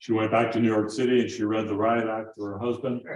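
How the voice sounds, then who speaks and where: A man at a medium pitch with monotone, flat intonation and audible room echo. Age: 70s. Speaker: guitar maker and lecturer. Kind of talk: lecture. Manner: halting.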